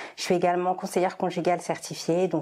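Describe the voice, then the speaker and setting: A woman with a dark, mellow tone speaks at a fairly quick pace on a very clean recording with a silent background. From Martinique and Congo heritage. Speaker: marriage counsellor. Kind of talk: interview. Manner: hesitant, many fillers.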